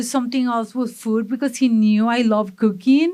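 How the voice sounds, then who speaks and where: In a very clean recording with a silent background, a woman with a strong Mexican accent speaks at a fairly high pitch with ordinary pitch variation. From Mexico, Monterrey. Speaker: food business owner. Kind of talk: interview. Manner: energetic.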